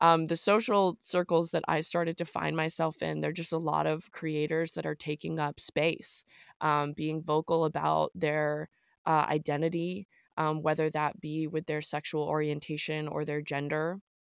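The voice moves at a moderate pace with monotone, flat intonation, and the sound is dry and close with no echo. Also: woman, very deep, low pitch for a woman. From US military family, raised in the South. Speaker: songwriter and entertainer. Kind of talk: casual chat. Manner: halting, many fillers.

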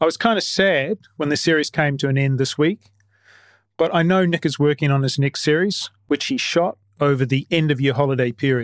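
A man with a New Zealand accent and a fairly high voice, at a fairly quick pace, with ordinary pitch variation and very even loudness, in a very clean recording with a silent background and a dry, close sound with no echo. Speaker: podcast host. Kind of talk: podcast monologue and interview.

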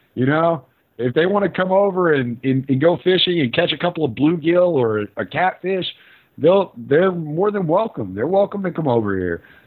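A man speaks with an American accent in a fairly high voice for a man. His pace is moderate and his intonation is lively. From southeast Texas (Houston). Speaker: podcast host, anarchist commentator, former truck driver. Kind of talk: interview conversation. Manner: hesitant, frequent repetitions.

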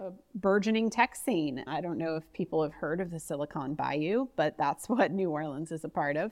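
With a plain, everyday voice, a woman speaks at a moderate pace and fairly low pitch, hardly pausing at all. Her intonation is lively. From US, northeast Ohio. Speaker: customer success manager. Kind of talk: casual interview.

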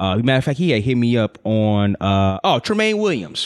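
Speaking at a moderate pace, a man has a normal speaking voice at medium pitch. He talks with an American accent. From Chicago. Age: 30s. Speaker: sports podcast co-host. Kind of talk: casual chat.

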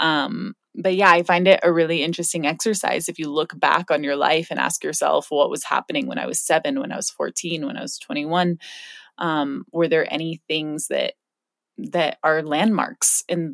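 A woman with an unremarkable speaking voice and a fairly low pitch speaks at a moderate pace with lively intonation, in a dry, close sound with no echo on a very clean recording with a silent background. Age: 30s. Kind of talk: reflective solo podcast talk.

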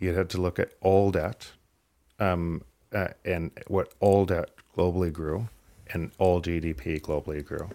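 A man's very deep, low voice, dark and mellow, at a fairly slow pace with fairly even intonation, on a very clean recording with a silent background. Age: 50s. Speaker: author and Bitcoin advocate. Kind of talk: live fireside chat. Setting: stage with audience.

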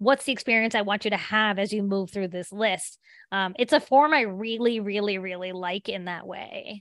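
A woman at a medium pitch with a plain, everyday voice, moderate pace, ordinary pitch variation and big swings in loudness against a quiet background. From southern West Virginia. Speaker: author and teacher. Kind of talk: interview.

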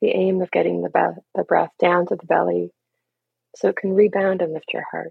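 The speech comes at a moderate pace. It carries a Canadian accent. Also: woman. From Canada, Toronto. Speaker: grief coach. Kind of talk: guided meditation; casual interview.

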